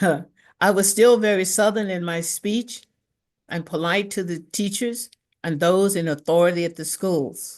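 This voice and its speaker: A plain, everyday voice with an American accent, a fairly slow pace and ordinary pitch variation over a quiet background. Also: woman, medium pitch for a woman. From Mississippi, US South. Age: 60s. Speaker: reverend, speaker. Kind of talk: prepared talk, personal testimony.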